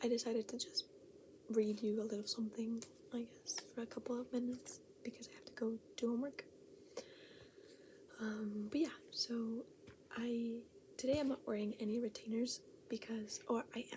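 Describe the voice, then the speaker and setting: A soft-spoken woman talks at a moderate pace with a fairly high pitch and ordinary pitch variation. She leaves long, frequent pauses, and noticeable background noise is present. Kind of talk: casual ASMR talk to camera.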